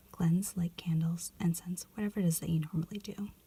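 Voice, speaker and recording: The delivery comes at a moderate pace. The speaker is soft-spoken. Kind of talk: reading instructions aloud.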